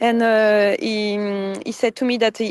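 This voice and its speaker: Heard in a dry, close sound with no echo, a woman speaks with a French accent. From France. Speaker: flotilla activist, detainee. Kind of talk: interview testimony. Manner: halting.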